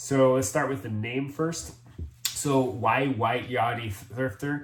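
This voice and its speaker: A man with an American accent speaks very slowly at a medium pitch with ordinary pitch variation, amid audible room echo and noticeable background noise. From Jamaica, Montego Bay. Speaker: thrift reseller and military medical worker. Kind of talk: casual vlog introduction.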